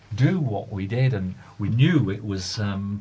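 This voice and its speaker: A somewhat breathy man with lively intonation, in a room with audible echo. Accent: Lancashire. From Lancaster, northern England. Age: 70s. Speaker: hospital radio presenter. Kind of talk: casual chat.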